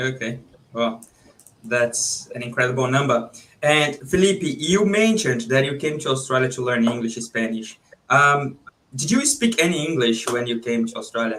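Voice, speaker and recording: A man with a Brazilian accent, medium in pitch, with ordinary pitch variation. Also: moderate pace. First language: Portuguese. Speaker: podcast host. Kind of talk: podcast interview.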